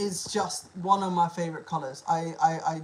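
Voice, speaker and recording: The speech moves at a fairly slow pace. Noticeable background noise runs throughout. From Liverpool, northern England. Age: 20s. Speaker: livestreamer, zookeeper. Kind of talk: casual live Q&A stream. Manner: casual, chatty.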